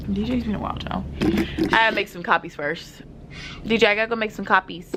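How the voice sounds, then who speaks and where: A woman speaks at a very fast pace against noticeable background noise. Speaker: pre-k teacher and vlogger. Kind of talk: casual vlog talk. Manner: loud.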